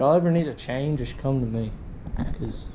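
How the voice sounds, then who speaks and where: Heavy background noise runs under a man talking at an even, middling speed. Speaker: vlogger. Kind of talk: casual vlog chat. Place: garage. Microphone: phone near.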